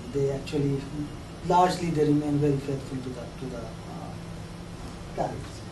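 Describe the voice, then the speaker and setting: Speaking at a fairly high pitch and a moderate pace, a man keeps his intonation fairly even while his loudness swings widely, with long, frequent pauses. Noticeable background noise and audible room echo fill the recording. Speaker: lecturer. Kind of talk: lecture. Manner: hesitant, many fillers and repeats.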